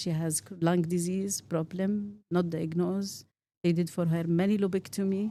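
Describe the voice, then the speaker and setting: At a moderate pace, a woman talks in a dark, mellow tone with fairly even intonation. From Saudi Arabia, Eastern Province. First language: Arabic. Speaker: pediatric pulmonologist. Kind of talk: interview.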